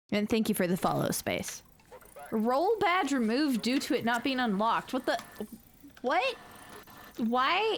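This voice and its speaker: Amid noticeable background noise, a woman's squeaky, high-pitched voice swings very widely in pitch yet holds very even loudness, moving at a fairly slow pace with long, frequent pauses. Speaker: streamer. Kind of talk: casual chat. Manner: animated.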